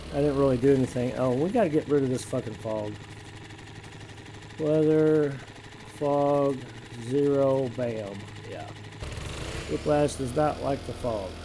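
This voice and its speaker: A man's medium-pitched voice at a fairly slow pace, with long, frequent pauses, ordinary pitch variation and noticeable background noise. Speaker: video game streamer. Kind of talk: live gameplay commentary. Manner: casual, chatty.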